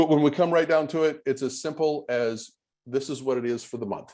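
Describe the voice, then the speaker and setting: A man's dark, mellow voice carries ordinary pitch variation. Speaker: financial advisor. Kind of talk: presentation. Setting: video call. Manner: fast.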